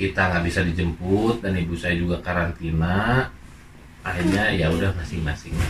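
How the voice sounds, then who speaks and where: Moving at a moderate pace, a man talks in a very deep, low pitch. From Indonesia. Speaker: migrant worker. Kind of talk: interview.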